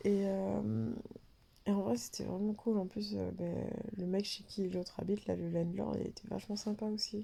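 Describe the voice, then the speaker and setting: The speaker has a French accent and a moderate pace. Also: woman. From France. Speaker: vlogger, postdoctoral researcher. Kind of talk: casual vlog storytelling. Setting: in a dark bathroom during power cut. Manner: casual, many fillers.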